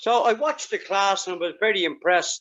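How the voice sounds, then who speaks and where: The speaker has a Dublin accent. The pace is moderate. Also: man. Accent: Irish (Dublin). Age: 70s. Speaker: karate master. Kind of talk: interview.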